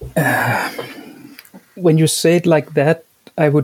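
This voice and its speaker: A man with a Danish accent speaks at a fairly slow pace and a fairly high pitch. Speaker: education professor. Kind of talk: interview. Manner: halting, with many repeated words.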